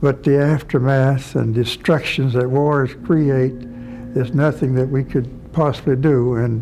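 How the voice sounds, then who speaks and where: Speaking very slowly in an American accent, a man holds a medium pitch with monotone, flat intonation and very even loudness over noticeable background noise. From North Carolina. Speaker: war veteran. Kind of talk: interview answer.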